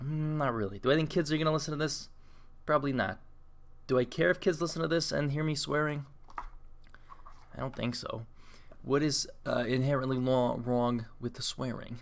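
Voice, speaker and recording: Here a man speaks at a fairly high pitch with ordinary pitch variation. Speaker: podcast host. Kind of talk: casual solo podcast monologue. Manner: fast; rambling, conversational.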